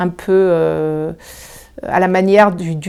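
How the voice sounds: Fairly even intonation with a dark, mellow tone and a clear, smooth tone. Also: woman.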